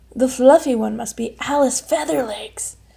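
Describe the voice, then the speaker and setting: A woman's raspy, put-on character voice, high-pitched, at a moderate pace. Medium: read story.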